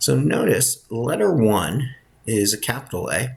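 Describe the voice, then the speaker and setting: A soft-spoken man talks with lively intonation and a somewhat breathy sound. The recording is very clean, with a silent background. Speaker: college instructor. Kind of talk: lecture.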